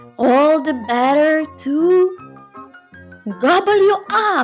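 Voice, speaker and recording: A put-on, high-pitched character voice at a fairly slow pace, with faint music behind it. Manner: roaring, menacing.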